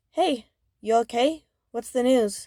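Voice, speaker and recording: A woman puts on a character voice in a high pitch. She is soft-spoken. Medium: read story. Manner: soft, caring.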